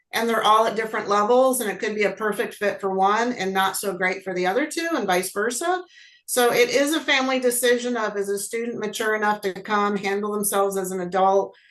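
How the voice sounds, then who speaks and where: In a plain, everyday voice, a woman talks at a fairly quick pace with hardly any pauses, her fairly high pitch showing ordinary variation. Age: 60s. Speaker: college program coordinator. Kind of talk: panel webinar talk.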